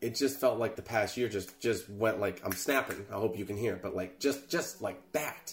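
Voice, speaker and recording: A man's fairly low, somewhat breathy voice at a moderate pace, with ordinary pitch variation and hardly any pauses. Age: 20s. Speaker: podcast host, content creator. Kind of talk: casual solo monologue. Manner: casual, halting with filler words.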